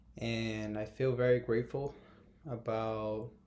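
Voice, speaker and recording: Speaking very slowly, a man with a Brazilian Portuguese accent has a dark, mellow tone. His intonation stays monotone and flat. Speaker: YouTuber. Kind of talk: casual vlog talk to camera. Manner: halting, many fillers.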